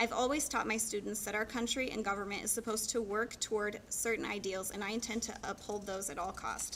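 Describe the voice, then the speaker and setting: A woman talks at a fairly quick pace with a fairly high pitch. Noticeable background noise runs under her voice. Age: 30s. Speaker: political candidate. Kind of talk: campaign speech.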